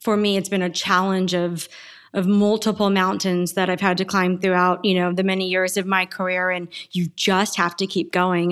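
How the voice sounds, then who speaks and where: A woman with an American accent speaks at a moderate pace in a normal speaking voice. The recording is very clean, with a silent background. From Arizona, US Southwest. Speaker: tech startup founder and CEO. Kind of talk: interview.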